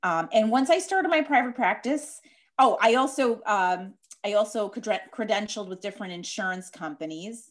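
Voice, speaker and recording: Against a quiet background, a woman with a Chicago accent speaks at a moderate pace and a fairly high pitch, with lively intonation. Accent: Chicago Midwestern, noticeable. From Chicago, US Midwest. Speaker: dietitian and diabetes educator. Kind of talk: interview, explaining expertise.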